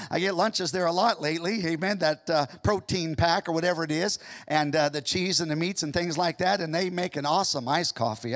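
The man speaks at a fairly quick pace against a quiet background. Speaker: pastor. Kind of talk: sermon. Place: church. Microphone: handheld.

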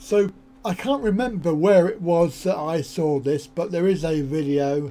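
A man's dark, mellow voice, fairly high in pitch, fairly slow, with ordinary pitch variation

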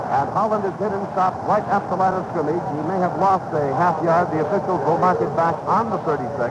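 Over loud background noise, a man speaks fairly quickly with hardly any pauses and ordinary pitch variation. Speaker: radio play-by-play announcer. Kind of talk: sports commentary. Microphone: old recording.

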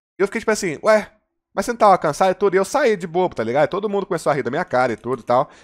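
A man's fairly high voice at a very fast pace, with very wide pitch swings, against a quiet background. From Brazil, Contagem (Minas Gerais); Minas Gerais, Brazil. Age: 20s. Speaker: gaming YouTuber; streamer. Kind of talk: personal confessional monologue. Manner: hesitant, many fillers and repetitions. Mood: personal, reflective storytelling. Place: home room. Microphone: headset.

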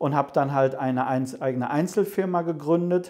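A man speaks at a moderate pace with an ordinary speaking voice. His pitch sits fairly high, and the background is quiet. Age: 50s. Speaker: home cinema company owner. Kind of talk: interview. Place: office.

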